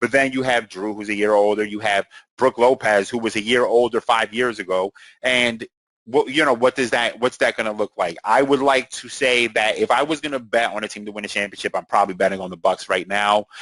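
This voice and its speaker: In a dry, close recording with no echo, a man with an unremarkable speaking voice talks at medium pitch and a fairly quick pace with fairly even intonation. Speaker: sports podcast host. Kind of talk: casual commentary monologue.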